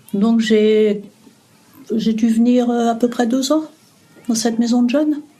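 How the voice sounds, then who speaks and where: A woman at a fairly slow pace, with long, frequent pauses, fairly even intonation, very even loudness and noticeable background noise. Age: 60s. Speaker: retiree interviewed about memories. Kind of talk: interview. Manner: hesitant, many fillers.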